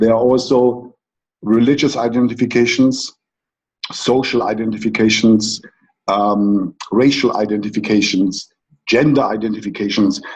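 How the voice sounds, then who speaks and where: With a German accent, a man speaks at medium pitch and a moderate pace. His intonation is fairly even and his loudness very even. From Germany. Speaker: coach. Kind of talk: conference talk.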